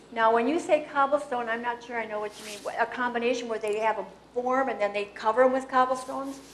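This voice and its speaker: A high-pitched woman with a Wisconsin accent speaks at a very fast pace with fairly even intonation. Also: big swings in loudness. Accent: Upper Midwest (Wisconsin). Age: 70s. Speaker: local historian. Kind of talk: Q&A after a talk. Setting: public meeting with audience. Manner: informal, hesitant.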